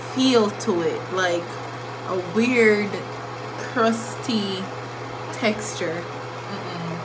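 A woman talks at a very slow pace with ordinary pitch variation amid noticeable background noise. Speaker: vlogger. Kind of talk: casual vlog chat. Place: bathroom. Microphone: phone near.

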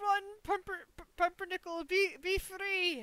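A woman speaks in a put-on character voice pitched extremely high.

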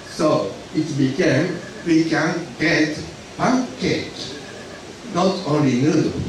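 A man with a Japanese accent at a fairly high pitch and a very slow pace, amid noticeable background noise and strong room echo. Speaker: lecturer on accounting. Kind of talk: lecture. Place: hall.

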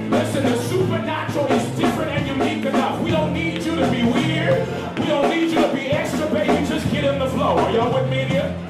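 Speech comes at a fairly quick pace with hardly any pauses. Loud music plays in the background, and audible room echo is present. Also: man. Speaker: visiting minister. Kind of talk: sermon. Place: hall.

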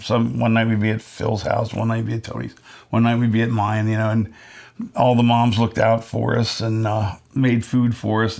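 The speaker is a man. He talks at a moderate speed. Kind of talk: interview answer. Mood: relaxed nostalgic. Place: home room. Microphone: lapel.

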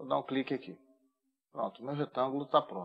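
Against a quiet background, a man speaks at a medium pitch with a Brazilian accent. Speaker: AutoCAD instructor. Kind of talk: tutorial. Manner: casual, informal. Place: home room.

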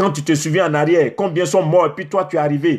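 A man with a somewhat breathy voice talks at a moderate pace with ordinary pitch variation against a quiet background. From Côte d'Ivoire. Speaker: preacher. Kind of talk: sermon. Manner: animated. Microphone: phone near.

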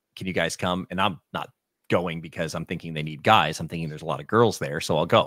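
A man talks at a very fast pace in a very deep, low voice with fairly even intonation. The background is quiet. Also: dry sound with no echo. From southern New England. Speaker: musician; guest. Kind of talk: casual interview conversation. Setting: online stream. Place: home room. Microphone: studio mic.

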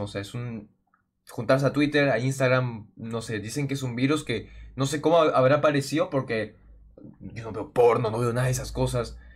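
The surroundings are quiet. A man is the one talking. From Peru. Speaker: gaming youtuber. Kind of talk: casual vlog talk to viewers. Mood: worried, telling about hack. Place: home room.

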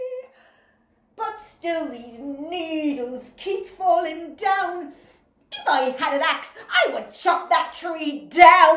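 A woman puts on a character voice at an extremely high pitch with ordinary pitch variation. She speaks at a very slow pace, with a slight echo. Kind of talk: children's storytime acting. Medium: read story.

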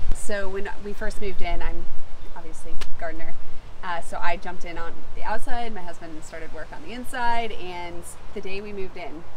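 A woman talks at a fairly quick pace, her loudness swinging widely. Noticeable background noise sits behind her. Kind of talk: interview answer. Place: garden.

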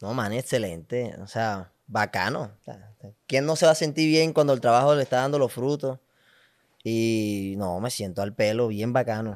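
In a quiet background, a man talks at a fairly slow pace with ordinary pitch variation. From Colombia, Valledupar; Colombia. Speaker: comedy content creator. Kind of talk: casual interview chat. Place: studio. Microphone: studio mic.

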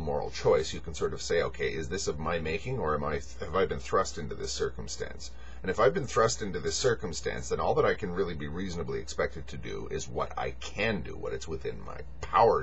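With light background noise behind him, a man talks at a very fast pace with hardly any pauses. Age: 40s. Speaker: video blogger. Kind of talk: monologue. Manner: halting; rambling. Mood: reflective, earnest. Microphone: webcam.

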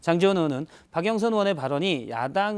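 Lively intonation at a moderate pace on a very clean recording with a silent background. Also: man. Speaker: news reporter. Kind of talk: news briefing segment.

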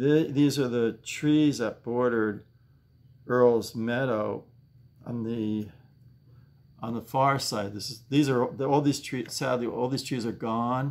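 Very slow pace with long, frequent pauses. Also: man, fairly even intonation. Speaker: home vlogger. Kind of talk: casual vlog chat. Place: home room. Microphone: webcam.

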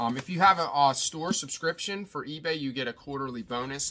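The tone is bright and sharp. The pace runs fairly quick. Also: man. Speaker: online reseller. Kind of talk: casual vlog chat. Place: home room. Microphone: phone near.

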